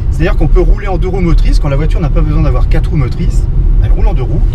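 Loud background noise surrounds a man's voice, which sounds dry with no echo. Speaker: car reviewer driving. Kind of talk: car review commentary. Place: car. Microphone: camera far.

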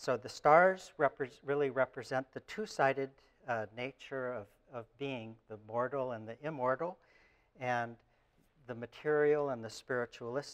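His loudness rises and falls in big swings at a fairly slow pace, with ordinary pitch variation. The man is heard against a quiet background. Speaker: lecturer. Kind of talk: lecture. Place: classroom. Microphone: lapel.

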